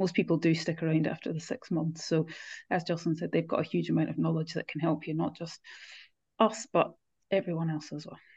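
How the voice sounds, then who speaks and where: A woman talks at a fairly quick pace in a fairly low voice with vocal fry. The background is quiet. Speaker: co-host, mindset coach. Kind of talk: casual podcast chat.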